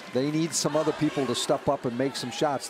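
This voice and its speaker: With noticeable background noise behind him, a man speaks at a fairly quick pace in a relaxed tone and fairly even intonation. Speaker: color analyst. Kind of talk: live sports commentary. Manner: relaxed, conversational analysis with occasional dry humor.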